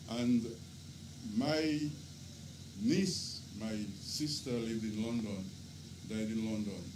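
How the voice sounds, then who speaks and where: Audible room echo surrounds a man speaking at a medium pitch with lively intonation. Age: 70s. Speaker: father of the deceased. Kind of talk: eulogy. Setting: vigil gathering.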